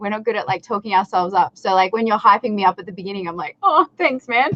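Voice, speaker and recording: A woman with an Australian accent speaks at a very fast pace and a medium pitch. Her tone is animated. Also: ordinary pitch variation. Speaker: content creator and recording artist. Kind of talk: casual interview chat. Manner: animated, hesitant with many fillers.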